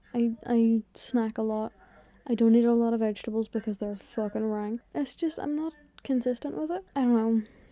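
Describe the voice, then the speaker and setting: Quiet and dark, mellow in tone, a woman speaks at a fairly high pitch and moderate pace with ordinary pitch variation, in a dry, close sound with no echo. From Ireland. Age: 20s. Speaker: content creator. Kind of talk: casual vlog talk. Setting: in bed at home.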